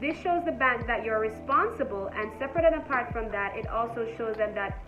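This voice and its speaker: A woman's fairly high voice at a fairly quick pace, with ordinary pitch variation and music in the background. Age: 20s. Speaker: entrepreneur, finance content creator. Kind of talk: casual talk to camera. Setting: phone microphone, poor audio.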